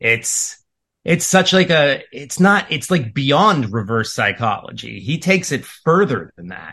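A man speaks fairly slowly in a fairly high, bright, sharp voice with vocal fry, his pitch swinging very widely and his loudness in big swings. The background is quiet. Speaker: podcast guest. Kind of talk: casual chat.

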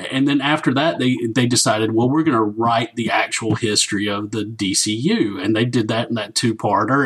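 A man with a strong Southern US accent talks at a moderate pace. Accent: thick Southern US. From US South. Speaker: guest co-host. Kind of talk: casual chat.

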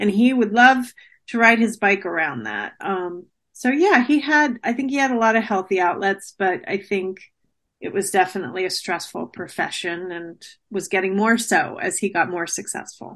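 A woman with an American accent speaks in a normal speaking voice at medium pitch. Her intonation is lively and her pace moderate. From New Jersey. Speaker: author. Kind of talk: interview.

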